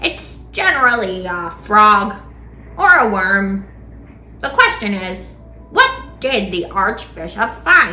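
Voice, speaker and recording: A woman in a put-on character voice talks at a fairly slow pace with long, frequent pauses over clear background noise. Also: medium pitch for a woman. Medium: read story. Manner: matter-of-fact.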